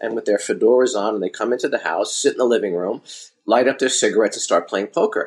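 A man with a New York accent, talking at a very fast pace. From Brooklyn, New York. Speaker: restaurateur and author. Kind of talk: interview conversation.

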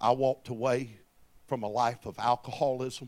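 In a very clean recording with a silent background, a man talks at a moderate pace and medium pitch with monotone, flat intonation. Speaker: preacher. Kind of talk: sermon. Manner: restrained volume to save voice.

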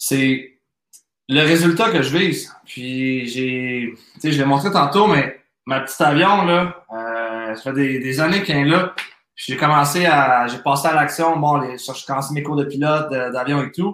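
With a plain, everyday voice, a man talks at a fairly slow pace and a fairly high pitch, with ordinary pitch variation. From Quebec. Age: 30s. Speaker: entrepreneur and business coach. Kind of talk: podcast interview.

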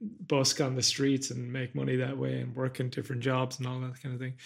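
A man with an Irish accent. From west of Ireland. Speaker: podcast host, cognitive scientist and philosopher. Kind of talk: casual interview conversation.

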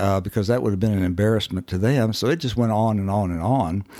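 Here a man speaks with a Southern US accent at a fairly quick pace and fairly low pitch. His pitch variation is ordinary, and the sound is dry and close with no echo. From Kentucky, US. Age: 70s. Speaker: recovering alcoholic. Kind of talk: testimony.

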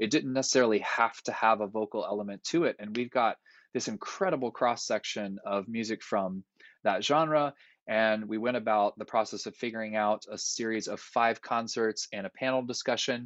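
A man speaks at a moderate pace in a normal speaking voice. His pitch is medium, with ordinary pitch variation. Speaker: university percussion professor. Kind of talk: panel discussion. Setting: video call.

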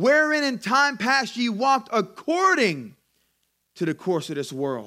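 A man with an American accent and an extremely high, bright, sharp, raised and projected voice at a moderate pace. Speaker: pastor. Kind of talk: sermon. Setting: church. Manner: animated, exhortative preaching.

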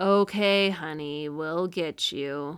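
A woman's gruff, put-on character voice at a fairly low pitch, with fairly even intonation. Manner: mocking, sarcastic.

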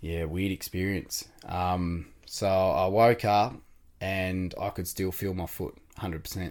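A man's very deep, low voice in an Australian accent, with fairly even intonation and a fairly slow pace. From Tasmania, Australia. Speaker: amputee sharing life story. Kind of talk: interview.

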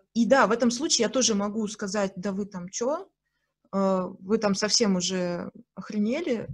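Somewhat breathy, a woman speaks at a fairly slow pace and a medium pitch. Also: ordinary pitch variation. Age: 30s. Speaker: podcast host. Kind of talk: casual chat.

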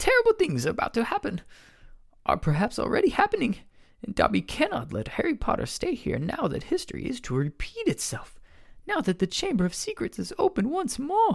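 This squeaky, put-on character voice sits at a fairly high pitch and moves at a fairly quick pace. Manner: anxious, dramatic.

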